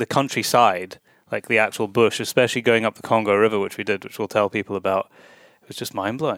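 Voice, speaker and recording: Very fast speech from a man, delivered in a monotone with flat intonation. The recording is very clean and dry, close-sounding with no echo, over a silent background. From Scotland. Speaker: podcast host. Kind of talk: interview. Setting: hotel room.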